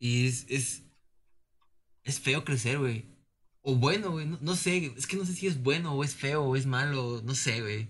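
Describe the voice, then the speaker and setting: A man with a Mexican accent, somewhat breathy and fairly high in pitch, at a fairly slow pace with long, frequent pauses. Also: ordinary pitch variation. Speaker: podcast co-host. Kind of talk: casual chat.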